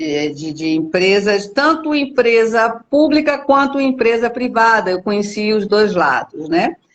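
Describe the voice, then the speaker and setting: Her pitch swings very widely as this woman speaks at a fairly slow pace. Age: 60s. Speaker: company executive, documentation center specialist. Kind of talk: live interview. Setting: video call livestream.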